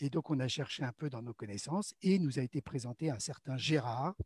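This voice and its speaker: A man talks at a moderate pace in a somewhat breathy, dark, mellow tone. His intonation is lively, and the sound is dry and close with no echo. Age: 60s. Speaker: amateur theatre actor. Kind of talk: interview about his theatre background. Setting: live online broadcast. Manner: hesitant, many fillers.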